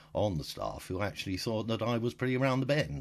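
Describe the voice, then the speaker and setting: A man with a British accent talks at a very fast pace and a medium pitch, with vocal fry. The background is quiet. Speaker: diarist with bipolar disorder. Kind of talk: audio diary. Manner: halting.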